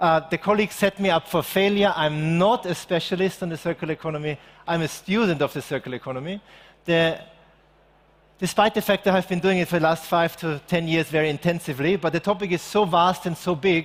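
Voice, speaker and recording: In an Austrian accent, a man races along at a very fast pace, his high voice keeping fairly even intonation. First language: German. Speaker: circular economy expert, keynote speaker. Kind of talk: keynote talk. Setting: stage with live audience.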